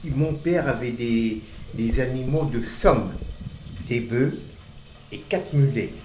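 A man's medium-pitched voice at a very slow pace, ordinary pitch variation, audible room echo and noticeable background noise. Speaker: grandfather recounting childhood memories. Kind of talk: casual chat. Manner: halting.

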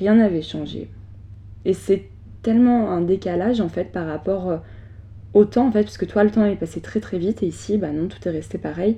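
A woman speaks at a medium pitch with vocal fry and a dark, mellow tone. Her moderate pace has long, frequent pauses and ordinary pitch variation. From France. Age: 20s. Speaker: podcast host, trainee journalist. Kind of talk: personal testimony. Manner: hesitant, with fillers.

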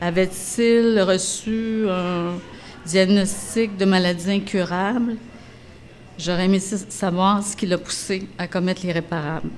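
With audible room echo, a woman speaks at a very slow pace and medium pitch, her intonation fairly even. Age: 60s. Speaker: narrator. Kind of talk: reading aloud.

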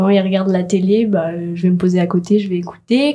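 In a very clean recording with a silent background, a woman with a dark, mellow tone speaks at a medium pitch and moderate pace, her intonation fairly even. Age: young. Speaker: graphic design student, first-time voter. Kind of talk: radio interview. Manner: casual, hesitant with fillers.

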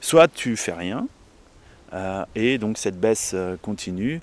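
A man with a fairly low-pitched voice. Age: 40s. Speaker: salt farmer. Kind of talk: interview. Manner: hesitant, many fillers.

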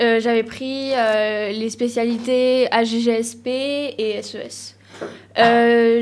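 Her intonation stays monotone and flat. The woman's pitch is high. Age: 20s. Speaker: law student. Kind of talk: casual chat.

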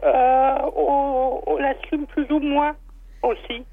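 A woman speaks at a very slow pace in a high pitch. Her pitch varies in an ordinary way. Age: 40s. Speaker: listener caller. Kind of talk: testimony. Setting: phone call.

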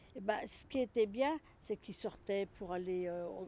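At a fairly slow pace, a woman speaks at medium pitch in a dark, mellow tone. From Lyon, France. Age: 60s. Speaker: retired home carer. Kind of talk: interview. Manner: halting, repetitive.

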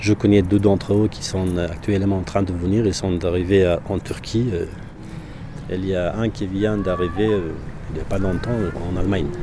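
Audible room echo and noticeable background noise around a man with a very deep, low pitch at a fairly slow pace. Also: fairly even intonation. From Afghanistan, Parwan. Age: 20s. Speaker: former military interpreter, association head. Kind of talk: interview testimony.

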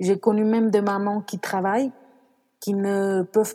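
Speaking fairly slowly, a woman talks at a medium pitch. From France and Mexico. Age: 30s. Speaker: career change coach and mother. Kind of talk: testimony.

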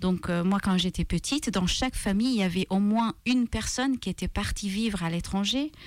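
A woman with a Maltese accent, fairly slow pace and ordinary pitch variation, on a very clean recording with a silent background. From Malta. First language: Maltese (speaking French). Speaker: author and translator. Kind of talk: radio interview. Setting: radio studio. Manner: hesitant, many fillers and repetitions.

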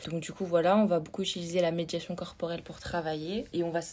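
A woman speaks at a fairly low pitch with monotone, flat intonation. The recording is very clean, the background silent. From French Alps near Switzerland. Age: 20s. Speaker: psychomotor therapist. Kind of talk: podcast interview.

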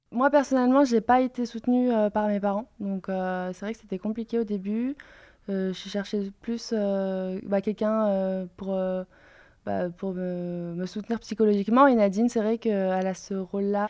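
A woman speaks at a fairly slow pace in a normal speaking voice, with fairly even intonation, medium pitch and a quiet background. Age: 20s. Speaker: startup founder. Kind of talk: interview testimony.

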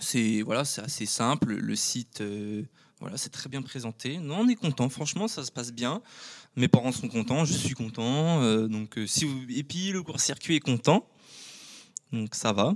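In a very clean recording with a silent background and a dry, close sound without echo, a man of medium pitch talks at a fairly slow pace with lively intonation. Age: 20s. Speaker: champagne winegrower. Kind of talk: casual interview. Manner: halting, many fillers.

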